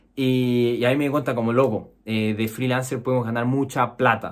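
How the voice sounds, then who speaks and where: A man talks at a fairly slow pace. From Chile. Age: 20s. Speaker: programmer and YouTuber; YouTuber. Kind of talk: personal story monologue. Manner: casual with many fillers. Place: home room.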